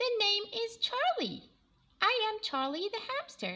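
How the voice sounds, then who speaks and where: In a put-on character voice, a woman speaks at an extremely high pitch. The voice is squeaky and the pace fairly slow. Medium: read story.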